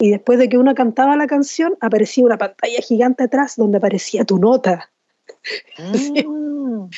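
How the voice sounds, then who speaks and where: Her voice is high in pitch. The woman speaks with a Chilean accent. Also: ordinary pitch variation, moderate pace, very even loudness. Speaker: singer-songwriter. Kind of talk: interview.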